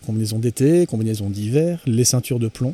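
A man's dark, mellow tone at medium pitch and a fairly quick pace. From French coast. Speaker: spearfishing enthusiast. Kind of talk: casual chat.

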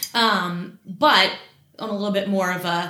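A woman speaks with medium pitch and fairly even intonation. Audible room echo and noticeable background noise surround her. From West Virginia, Morgantown. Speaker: community relations manager at a bank. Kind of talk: casual interview.

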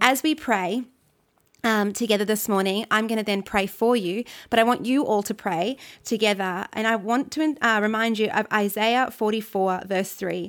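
In a very clean recording with a silent background, a woman with an Australian accent talks in an animated tone at a moderate pace with ordinary pitch variation. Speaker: church pastor leading prayer. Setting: recorded devotional message to a church community. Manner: earnest, fervent, pleading and declarative; animated, encouraging.

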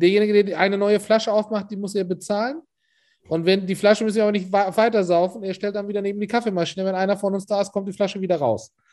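A man with a Hamburg accent talks very fast at a high pitch. His intonation stays fairly even. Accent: sounds like a native Hamburg German speaker. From Turkey, Istanbul. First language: Turkish (speaking German). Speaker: catering and food events entrepreneur. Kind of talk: casual interview. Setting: office.

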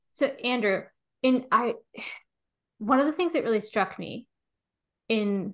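Someone with an American accent speaks at a moderate pace in a bright, sharp tone with ordinary pitch variation, over a quiet background. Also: woman. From US (Pennsylvania). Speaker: statistician and co-author. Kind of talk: interview conversation.

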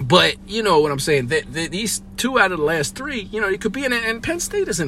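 A man with an American accent talks while noticeable background noise fills the recording. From Philadelphia, US. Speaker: sports reporter, podcast host. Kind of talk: post-game sports podcast chat. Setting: stadium press box.

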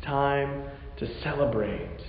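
A man speaks with noticeable background noise. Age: 40s. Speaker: pastor. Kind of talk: sermon.

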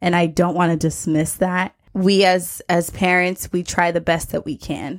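A woman speaks in a fairly low, monotone voice with flat intonation, at a fairly slow pace with hardly any pauses, in a very clean recording with a silent background. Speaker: podcast host. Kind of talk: casual interview chat.

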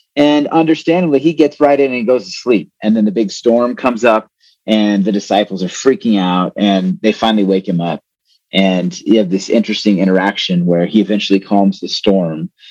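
A plain, everyday voice from a man with an American accent, fairly low in pitch, with lively intonation and a fairly quick pace. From New Mexico, near Texas border. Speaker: theology lecturer and pastor. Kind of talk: casual interview.

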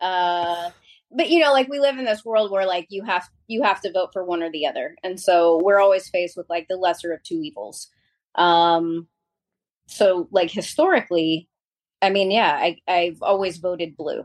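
A woman talks at a moderate pace in a normal speaking voice, medium in pitch, with ordinary pitch variation. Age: 40s. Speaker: small business owner. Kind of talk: casual chat.

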